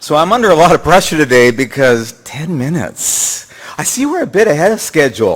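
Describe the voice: At a fairly quick pace, a man speaks with fairly high pitch, a fairly bright tone with a slightly husky edge, and big pitch swings.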